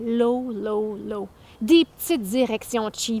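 A woman with a fairly high voice, recorded dry and close with no echo. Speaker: podcast host and spoken-word artist. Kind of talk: angry rant, passionate opinion monologue. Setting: outdoors, walking past the houses. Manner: animated; indignant, emphatic.

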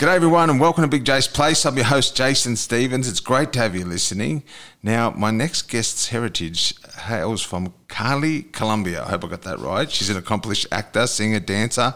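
A man with an Australian accent talks at a fairly quick pace with lively intonation. His tone is bright and sharp on a very clean recording with a silent background. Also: medium pitch for a man. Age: 40s. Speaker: podcast host. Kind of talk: casual chat.

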